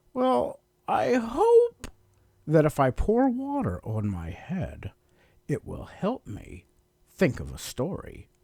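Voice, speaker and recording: Using a put-on character voice, a man speaks very slowly at a high pitch with long, frequent pauses, in a very clean recording with a silent background. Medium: read story.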